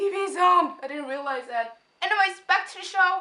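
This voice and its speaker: At a moderate pace, this raised, projected voice swings very widely in pitch. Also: woman. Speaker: video reviewer. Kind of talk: casual vlog review. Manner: rambling, hyped.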